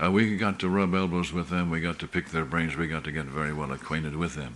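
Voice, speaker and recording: A man's very deep, low voice with vocal fry, fairly quick in pace and ordinary in pitch variation. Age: 70s. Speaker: pastor. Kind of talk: sermon. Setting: church meeting.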